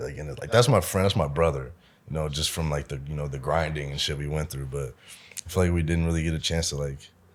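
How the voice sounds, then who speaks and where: Very deep and low, a man's voice comes through in an American accent. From US Midwest, Omaha, Nebraska. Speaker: musician and producer. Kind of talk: casual chat. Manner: casual, slangy.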